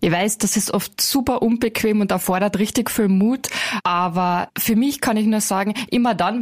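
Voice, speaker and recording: A woman uses an ordinary speaking voice, her medium pitch and fairly even intonation holding at a moderate pace. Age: 30s. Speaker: call centre team leader. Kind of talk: interview.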